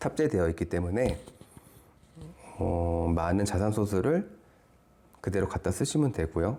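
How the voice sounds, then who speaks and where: A man with a very deep, low pitch and a dark, mellow tone speaks at a fairly slow pace with long, frequent pauses, lively intonation and very even loudness. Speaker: software product specialist. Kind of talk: webinar product presentation. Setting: online webinar.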